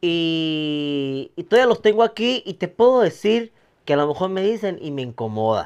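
Against a quiet background, a high-pitched man speaks at a moderate pace with very wide pitch swings. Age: 30s. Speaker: nightclub entertainer with ichthyosis; podcast guest. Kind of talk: casual chat; interview answer. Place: home room. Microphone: lapel.

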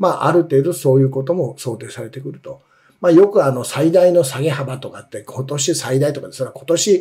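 A man's dark, mellow, somewhat breathy voice at a fairly quick pace against a quiet background. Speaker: investment commentator, former securities executive. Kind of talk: market commentary, live stream. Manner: explanatory, many fillers. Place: office.

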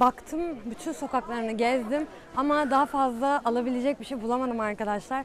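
In a dry recording with no echo and light background noise, a woman talks at a fairly quick pace in a high pitch with ordinary variation. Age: 20s. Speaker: YouTuber. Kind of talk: vlog. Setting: outdoors.

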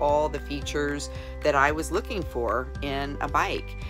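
Fairly slow speech over clear music in the background. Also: woman. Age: 60s. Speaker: customer giving product review. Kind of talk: testimonial interview answer. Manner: casual, conversational. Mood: warm, enthusiastic. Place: home room. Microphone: phone near.

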